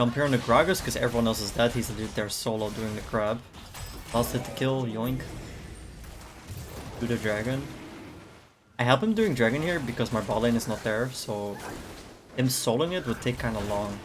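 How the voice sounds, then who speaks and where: Over noticeable background noise, a man at a medium pitch speaks with ordinary pitch variation and long, frequent pauses. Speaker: gaming streamer. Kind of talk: gameplay commentary. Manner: fast; casual.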